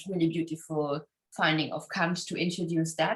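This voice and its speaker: With a German accent, a woman talks at a fairly quick pace and a fairly low pitch. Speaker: philosophy scholar. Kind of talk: academic interview. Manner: halting, many fillers.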